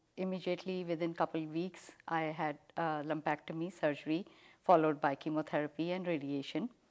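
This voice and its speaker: A woman's fairly low voice at a moderate pace, fairly even intonation, and a quiet background. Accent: Indian. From India, New Delhi. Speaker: cancer survivor, homemaker. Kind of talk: interview.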